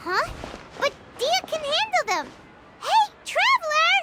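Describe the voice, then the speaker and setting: This put-on character voice is extremely high in pitch. It moves at a fairly slow pace. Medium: fan dub. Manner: brisk, lively.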